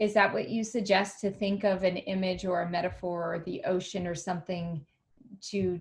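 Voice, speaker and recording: A woman's somewhat breathy voice at medium pitch, flat and monotone, at a moderate pace. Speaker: wellness workshop host. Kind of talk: video call discussion. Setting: video call.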